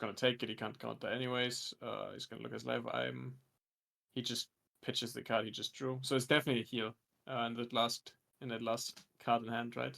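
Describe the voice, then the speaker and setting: A mumbling man at a fairly quick pace, with big swings in loudness. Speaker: card game commentator. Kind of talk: live commentary.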